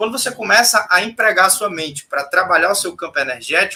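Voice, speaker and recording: A man projects a raised voice with a bright, sharp tone and lively intonation. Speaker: spiritual teacher. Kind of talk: casual chat. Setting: live stream.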